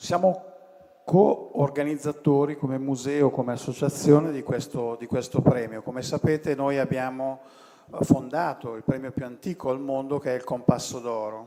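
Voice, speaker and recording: A man speaks with an Italian accent at a moderate pace. Noticeable background noise runs underneath. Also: medium pitch for a man, fairly even intonation. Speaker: design association president. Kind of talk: welcome speech. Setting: stage at award ceremony.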